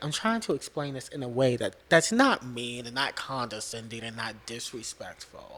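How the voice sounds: A soft-spoken man talks at a moderate pace in a medium pitch, his fairly bright tone carrying ordinary pitch variation.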